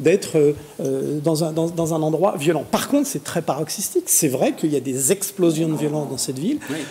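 A man speaks at a fairly high pitch and moderate pace with ordinary pitch variation. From Paris suburbs, France; France. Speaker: pharmacy association president and local councillor; talk show panelist. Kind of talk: TV panel debate. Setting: TV studio. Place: studio. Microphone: lapel.

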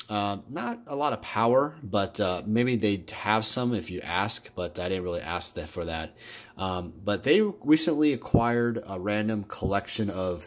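A man with a fairly low pitch and a normal speaking voice talks at a moderate pace with lively intonation. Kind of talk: casual vlog chat. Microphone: phone near.

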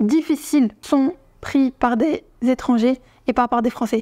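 A woman speaks at a high pitch with a dark, mellow tone. The background is quiet. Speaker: vlogger. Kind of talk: casual vlog commentary. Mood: indignant, earnest. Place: home room.

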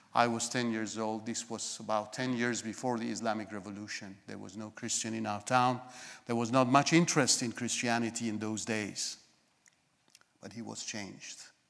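Against a quiet background, a man with a Persian accent speaks at a moderate pace and medium pitch, his intonation monotone and flat while his loudness swings widely. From Iran, northern (Lahijan). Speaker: guest preacher. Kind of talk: sermon. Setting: church. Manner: halting. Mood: calm, reflective storytelling. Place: church.

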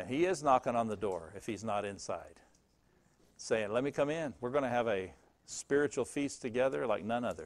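Speaking at a fairly quick pace, the man is clearly heard. Lively intonation shapes his lines. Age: 60s. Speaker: pastor. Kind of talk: sermon. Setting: church. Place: church.

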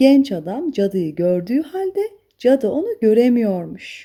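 A woman with a dark, mellow tone speaks at a fairly high pitch, making big swings in pitch. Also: fairly slow pace.

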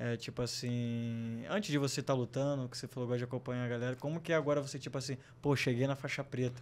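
His intonation is fairly even, and his pitch is medium. The man speaks at a very fast pace. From Brazil. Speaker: podcast host. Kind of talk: casual chat. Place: studio. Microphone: studio mic.

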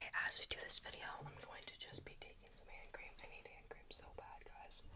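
The pace is moderate. A woman whispers. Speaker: ASMR creator. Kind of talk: ASMR whisper video. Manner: whispered. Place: home room. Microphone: studio mic.

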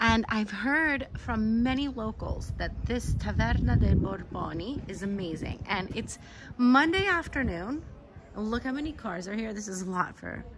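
A woman talks fairly slowly with noticeable background noise behind her. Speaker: travel vlogger. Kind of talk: casual vlog chat. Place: street.

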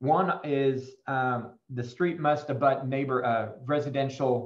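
A man speaks against a quiet background. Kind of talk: presentation to residents. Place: office. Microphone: video call.

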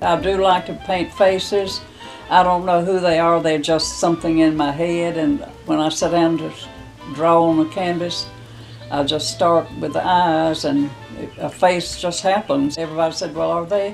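Faint music plays behind a woman whose pitch sits fairly low. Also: ordinary pitch variation, moderate pace. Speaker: painter. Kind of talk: interview answer. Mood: warm, gentle, fond. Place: home room.

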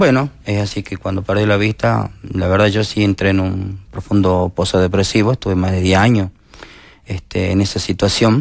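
At a moderate pace, a man speaks with a fairly low pitch and fairly even intonation, the sound dry with no echo over a quiet background. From Argentina, Jujuy province. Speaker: teacher and social communicator, blind; teacher. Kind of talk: TV interview testimony. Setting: TV studio. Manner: halting. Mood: earnest, pained recollection. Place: studio. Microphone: headset.

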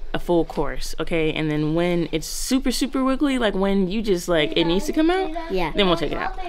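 Against noticeable background noise, a woman talks at a fairly quick pace with hardly any pauses. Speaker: mom vlogger. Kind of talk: casual vlog chat. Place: home room. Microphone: phone near.

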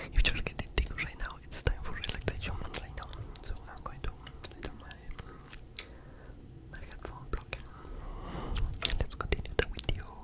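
Whispering and soft-spoken, a man talks at a moderate pace broken by long, frequent pauses. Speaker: ASMR creator. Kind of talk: ASMR whisper talk. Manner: soft close-mic ASMR whisper. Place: home room. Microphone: studio mic.

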